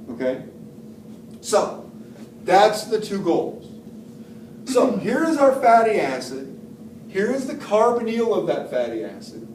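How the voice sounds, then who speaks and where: Very wide pitch swings at a fairly slow pace, with long, frequent pauses, audible room echo and noticeable background noise. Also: man. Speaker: professor. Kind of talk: lecture. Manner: deliberate.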